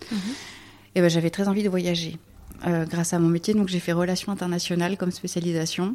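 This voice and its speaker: A woman's very fast pace broken by long, frequent pauses, with a dark, mellow tone, very even loudness and monotone, flat intonation. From rural France. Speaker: sustainability network director. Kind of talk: interview. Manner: halting.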